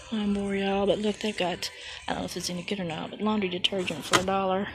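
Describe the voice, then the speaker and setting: A woman at a medium pitch, very fast and monotone with flat intonation, over noticeable background noise. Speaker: crafting vlogger. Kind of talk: casual walk-around vlog. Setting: in a store.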